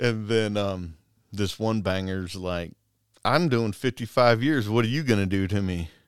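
The pace is fairly slow and the pitch variation ordinary. It is a very clean recording with a silent background. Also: man, fairly low pitch for a man. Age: 40s. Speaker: corrections deputy. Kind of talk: casual chat.

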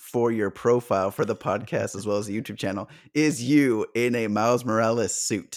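Here a man speaks in a plain, everyday voice at medium pitch with ordinary variation. His pace is moderate, and the recording is very clean with a silent background. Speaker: podcast host. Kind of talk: casual chat.

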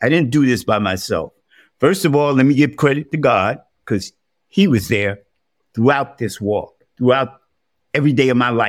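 With a New York accent, a man talks at a moderate pace with long, frequent pauses and ordinary pitch variation, recorded very cleanly against a silent background. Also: medium pitch for a man. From New York, South Bronx. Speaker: deacon and formerly homeless speaker. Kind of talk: interview testimony.

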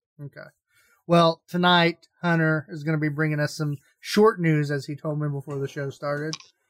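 A man uses an ordinary speaking voice at a fairly high pitch and moderate pace, with fairly even intonation and big swings in loudness. The sound is dry and close, with no echo. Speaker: gaming podcast host. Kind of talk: casual chat.

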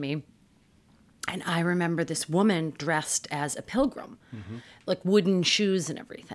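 In a normal speaking voice, a woman with an American accent talks at a moderate pace and a fairly low pitch, with ordinary pitch variation. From Massachusetts. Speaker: clinical psychologist. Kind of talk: interview.

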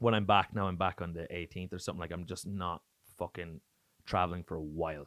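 In an Irish accent, a man with a very deep, low voice talks at a very fast pace with fairly even intonation. The recording is very clean and dry, with a close sound, no echo and a silent background. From Ireland. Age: 30s. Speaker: touring stand-up comedian. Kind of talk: casual chat. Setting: studio.

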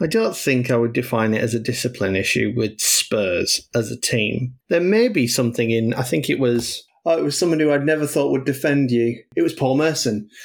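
With a normal speaking voice, a man talks at a moderate pace and medium pitch, using ordinary pitch variation and hardly any pauses. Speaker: football podcast panelist. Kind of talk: casual chat.

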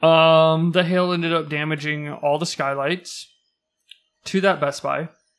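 At a fairly slow pace, a man talks at a fairly high pitch with monotone, flat intonation. The recording is very clean, the background silent. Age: 30s. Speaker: podcast co-host. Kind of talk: casual chat.

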